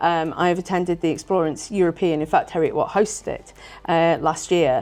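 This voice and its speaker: With an English accent, a woman speaks fairly quickly at a fairly low pitch, her intonation fairly even and her loudness swinging widely. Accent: very English. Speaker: university director of strategic planning. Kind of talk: interview. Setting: conference.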